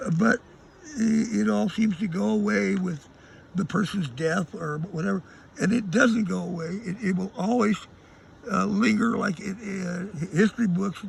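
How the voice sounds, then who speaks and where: A high-pitched man with long, frequent pauses amid noticeable background noise. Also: ordinary pitch variation, moderate pace. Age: 70s. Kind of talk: interview answer. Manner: hesitant, rambling.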